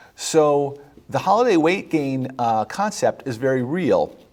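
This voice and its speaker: With an ordinary speaking voice, a man talks at a fairly high pitch with lively intonation. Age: 50s. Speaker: physician hosting a health show. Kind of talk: health advice talk. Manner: conversational with many fillers.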